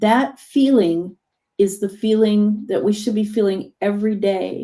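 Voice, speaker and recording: A woman talks at a medium pitch with ordinary pitch variation and a dark, mellow tone. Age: 60s. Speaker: hypnotherapist. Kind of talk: casual chat. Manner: animated.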